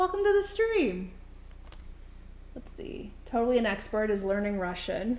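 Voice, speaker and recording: A woman talks in an animated tone at a moderate pace. Audible room echo surrounds her voice. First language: not English (third language). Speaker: streamer. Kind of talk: casual chat. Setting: live stream in a kitchen.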